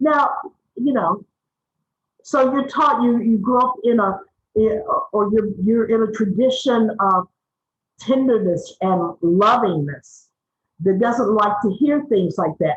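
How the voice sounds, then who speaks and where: Speech comes at a fairly slow pace with long, frequent pauses, lively intonation, very even loudness and a somewhat breathy quality. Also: woman, fairly high pitch for a woman. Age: 60s. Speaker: media trainer and activist. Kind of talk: webinar talk. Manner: animated.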